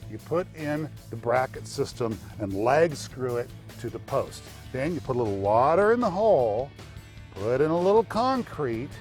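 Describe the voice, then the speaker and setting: With music in the background, a man at a medium pitch speaks in an upbeat tone. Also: moderate pace. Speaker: home improvement expert and TV presenter. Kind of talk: TV commercial read.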